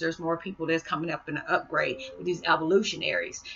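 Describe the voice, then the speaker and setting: A woman's fairly low voice at a fairly quick pace, with ordinary pitch variation and light background noise. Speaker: spiritual vlogger. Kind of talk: monologue video blog. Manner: fast talker; warm, animated. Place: home room. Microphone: webcam.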